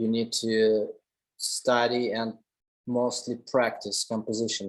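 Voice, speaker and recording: A man with a Russian accent speaks at a very slow pace. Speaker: commercial photographer. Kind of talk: lecture.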